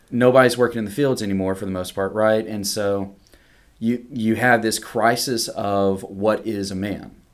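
A man speaks in a Southeast Texas accent at a fairly low pitch. His intonation is monotone and flat, and his pace is fairly slow. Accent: Southeast Texas Southern US. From Southeast Texas, near Beaumont. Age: 30s. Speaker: seminary student. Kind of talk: casual chat. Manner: halting with repetitions.

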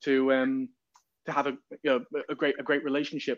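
Over a quiet background, a man talks at a fairly quick pace in a fairly high pitch. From northern England, Newcastle upon Tyne. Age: 30s. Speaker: music tour promoter and photographer. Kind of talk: interview.

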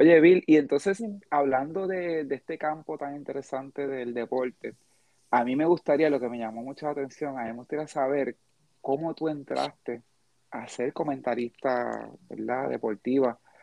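A man with a Puerto Rican accent speaks at a fairly high pitch. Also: ordinary pitch variation, moderate pace. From Puerto Rico. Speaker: podcast host. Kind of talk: casual chat.

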